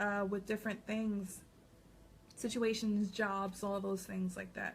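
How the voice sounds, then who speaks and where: A woman's somewhat breathy, medium-pitched voice at a fairly slow pace. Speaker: psychic reader. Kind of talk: vlog monologue.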